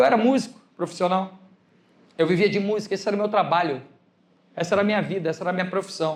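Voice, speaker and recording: A man speaks very fast in a high pitch with an animated tone and ordinary pitch variation, leaving long, frequent pauses. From Brazil. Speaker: pastor. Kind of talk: sermon.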